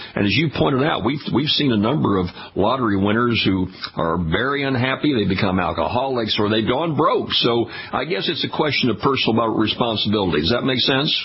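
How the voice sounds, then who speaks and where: A man's medium-pitched voice in an American accent, fairly quick in pace, with lively intonation, very even loudness and noticeable background noise. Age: 70s. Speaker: radio host. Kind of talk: radio interview.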